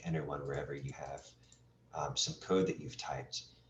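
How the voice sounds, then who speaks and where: This man speaks fairly quickly with vocal fry and ordinary pitch variation. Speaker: webinar instructor. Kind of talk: tutorial.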